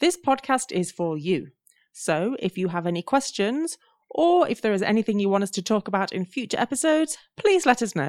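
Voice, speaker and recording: Recorded dry and close with no echo, on a very clean track with a silent background, a woman talks at a fairly quick pace and a fairly high pitch, her voice making very wide pitch swings. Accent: English Midlands. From English Midlands. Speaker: English teacher and podcast co-host. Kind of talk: casual chat.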